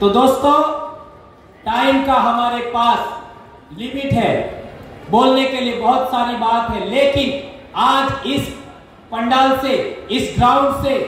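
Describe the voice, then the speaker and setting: A man speaks at an extremely high pitch in a monotone, flat intonation, with long, frequent pauses. Audible room echo and noticeable background noise surround him. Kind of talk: public speech at rally. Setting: outdoor pandal with audience.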